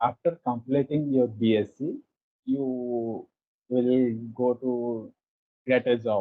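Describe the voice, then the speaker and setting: A man speaks at a medium pitch with an Indian accent. His very slow delivery has fairly even intonation and long, frequent pauses. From India, Odisha. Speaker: conversation practice guest. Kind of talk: casual conversation practice. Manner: halting, non-fluent English.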